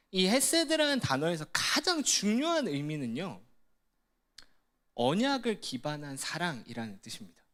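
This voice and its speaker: In a Gyeongsang accent, a man speaks at a fairly slow pace with a high pitch and very wide pitch swings. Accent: Gyeongsang Korean. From Gyeongsang region, South Korea. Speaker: ministry staff preacher. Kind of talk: sermon. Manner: conversational, engaging the audience with questions.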